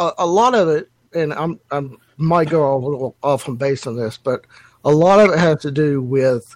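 With a dry, close sound and no echo, a man talks at a moderate pace in an unremarkable speaking voice, fairly high in pitch with ordinary pitch variation. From North Carolina. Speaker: caller. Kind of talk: casual group discussion.

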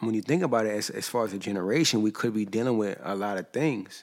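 In an American accent and a plain, everyday voice, a man speaks at a fairly quick pace with a fairly low pitch and ordinary pitch variation. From US East Coast. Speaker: musician. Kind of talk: casual chat.

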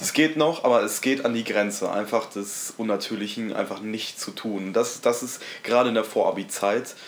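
A man talks at a moderate pace in a medium pitch. Noticeable background noise sits behind him. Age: 20s. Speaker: podcast co-host, school student. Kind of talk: casual chat.

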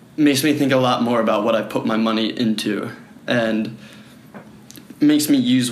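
Moderate-paced male speech against noticeable background noise. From Philadelphia suburbs, US. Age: 20s. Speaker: project founder meeting strangers. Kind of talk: casual chat.

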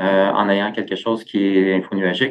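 The speaker is a man with a fairly low pitch. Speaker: tech company executive. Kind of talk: interview.

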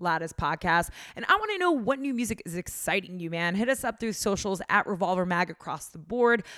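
Here is a woman with an unremarkable speaking voice at a medium pitch. She moves at a fairly quick pace with ordinary pitch variation. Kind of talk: casual interview. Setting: tour bus.

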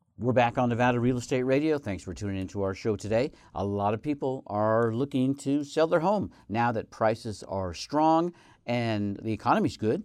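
At a moderate pace, a man talks with lively intonation at a medium pitch. The background is quiet. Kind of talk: radio DJ patter: upbeat welcome, teasing the next segment before a break. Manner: bright, chatty, friendly and enthusiastic.

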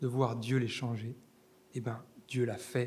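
Fairly slow, somewhat breathy speech from a man. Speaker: preacher. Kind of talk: sermon. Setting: church. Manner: animated, fervent preacher addressing the congregation as 'les amis'; emphatic, rhythmic repetition building to a climax.

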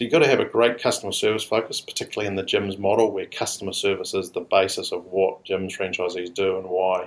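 A man speaks at a fairly quick pace with a fairly low pitch. He has an ordinary speaking voice. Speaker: franchise company head. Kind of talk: business interview.

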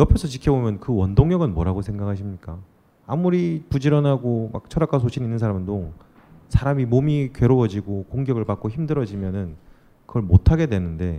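A dark, mellow tone with very wide pitch swings at a fairly quick pace. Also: man, medium pitch for a man. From Busan. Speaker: podcast host. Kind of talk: interview. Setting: stage with audience.

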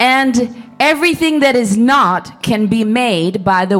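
A woman talks with lively intonation, her voice carrying audible room echo over noticeable background noise. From Netherlands. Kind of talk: prophetic word over a couple at a church service. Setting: church. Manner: halting, with nervous laughs.

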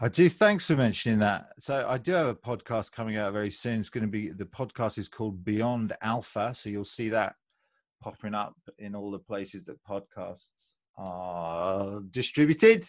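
A man with a British accent talks at a moderate pace in a fairly low pitch, with ordinary pitch variation and big swings in loudness, on a very clean recording with a silent background. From UK. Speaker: American football coach. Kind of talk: podcast interview.

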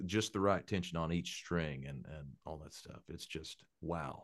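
Very deep and low, a man's voice comes through with an Appalachian accent. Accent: Appalachian Southern US. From Eastern Kentucky, Appalachia. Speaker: bluegrass country songwriter and musician. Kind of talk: casual interview chat.

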